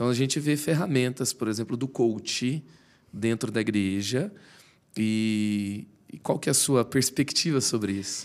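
A man speaks in a plain, everyday voice at a medium pitch, with ordinary pitch variation and a fairly slow pace. The recording is very clean, with a silent background. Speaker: podcast host. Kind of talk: interview.

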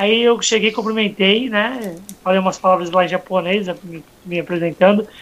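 High-pitched for a man, this speaker keeps a fairly even intonation at a moderate pace. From Santos, Brazil. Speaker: podcast host. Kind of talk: casual chat.

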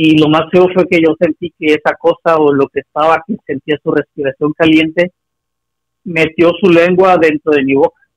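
A man delivers his words at a moderate pace in a monotone, flat intonation, the sound dry and close with no echo. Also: fairly high pitch for a man. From Acapulco, Mexico. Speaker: caller. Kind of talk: phone-in story telling.

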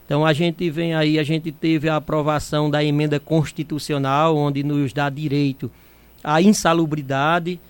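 Fairly slow and fairly high-pitched, a man speaks. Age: 50s. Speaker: union president and community health agent. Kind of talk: radio interview. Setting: radio studio.

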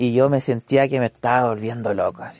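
A man with a Chilean accent talks at a moderate pace, his medium pitch held in fairly even intonation. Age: 20s. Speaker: podcast co-host. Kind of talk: casual chat. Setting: indoor home gathering at night.

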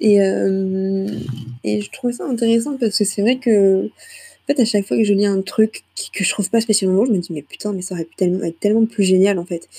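A woman's somewhat breathy, dark and mellow voice at a fairly quick pace, with ordinary pitch variation. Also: medium pitch for a woman. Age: 20s. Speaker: student podcaster. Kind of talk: casual monologue. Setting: at home, late night. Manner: hesitant, many fillers.

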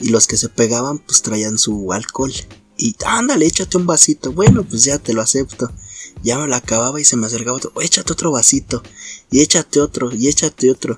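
With music in the background, a man speaks at a fairly quick pace, at a medium pitch and with ordinary pitch variation. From Naucalpan, Mexico City area. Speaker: podcast co-host. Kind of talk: casual chat.

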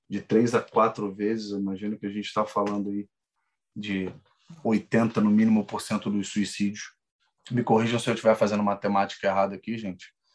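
A man's fairly low, flat, monotone voice at a fairly quick pace. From Rio de Janeiro. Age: 30s. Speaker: salesperson. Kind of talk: casual chat.

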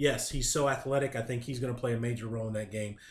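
A somewhat breathy man with an American accent, medium pitch and ordinary pitch variation. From Ohio. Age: 40s. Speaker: sports fan guest. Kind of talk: casual chat.

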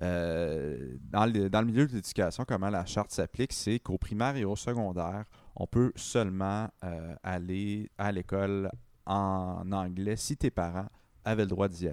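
Speaking in a Quebec accent, a man has a fairly low pitch and a fairly slow pace. The sound is dry and close, with no echo. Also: ordinary pitch variation, very clean recording, silent background. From Quebec, Sherbrooke. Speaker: political columnist. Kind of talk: conversational commentary. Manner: halting.

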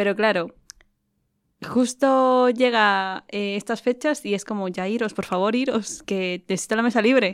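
This is a woman with a plain, everyday voice and a fairly high pitch. Her pitch variation is ordinary, and the recording is very clean with a silent background. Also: fairly slow pace. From Ecuador. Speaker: podcast co-host. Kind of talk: casual chat.

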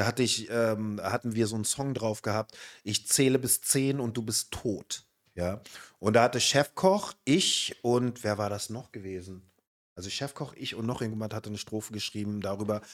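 The recording is very clean, with a silent background. An ordinary speaking voice keeps a moderate pace, and its pitch varies in an ordinary way. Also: man, medium pitch for a man. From Berlin (Spandau). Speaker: podcast host. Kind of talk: casual chat.

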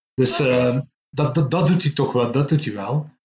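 With a somewhat breathy voice, a man talks at a moderate speed, his pitch moving in an ordinary way. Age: 50s. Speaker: comic book writer and publisher. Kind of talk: casual interview.

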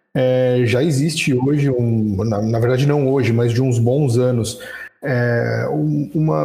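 Medium-pitched male voice, somewhat breathy and dark and mellow in tone, very slow, with ordinary pitch variation and audible room echo. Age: 20s. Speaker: retail store manager. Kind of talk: casual group discussion. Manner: hesitant, many fillers.

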